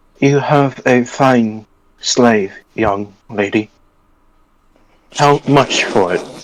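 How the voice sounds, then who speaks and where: A man's soft-spoken, robotic put-on character voice at medium pitch, very slow, with long, frequent pauses. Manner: emotionless.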